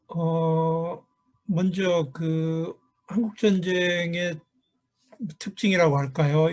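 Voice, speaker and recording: A man speaks with a Korean accent. His voice is somewhat breathy. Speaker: professor. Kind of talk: conference presentation. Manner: halting.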